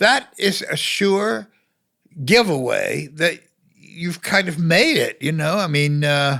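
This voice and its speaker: The voice is raised and projected, with a bright, sharp tone. The recording is very clean, with a silent background. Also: man. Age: 80s+. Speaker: film critic. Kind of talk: interview answer.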